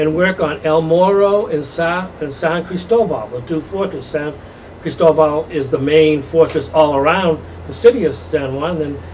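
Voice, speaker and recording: A man with a New England accent, fairly high in pitch, with ordinary pitch variation, audible room echo and noticeable background noise. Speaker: architect and gallery owner. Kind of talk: interview. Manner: halting.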